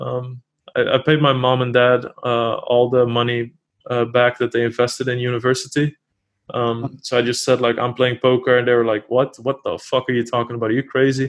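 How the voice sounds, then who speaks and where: Delivered at a fairly quick pace, the speech is monotone and flat in a Dutch accent. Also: man, medium pitch for a man. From Netherlands. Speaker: poker player and streamer. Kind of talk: interview.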